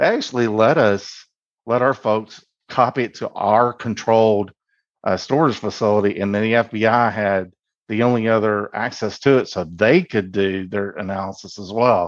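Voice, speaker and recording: A man with an ordinary speaking voice, fairly low in pitch, with fairly even intonation and a moderate pace. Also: quiet background. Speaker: university cybersecurity staff. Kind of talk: interview recollection.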